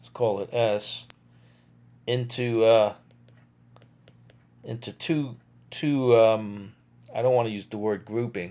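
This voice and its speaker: A man with a dark, mellow tone speaks at a very slow pace with long, frequent pauses. His intonation is fairly even, while his loudness swings widely. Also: medium pitch for a man. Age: 60s. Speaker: physics lecturer. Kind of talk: lecture. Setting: live stream. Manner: halting, with many fillers.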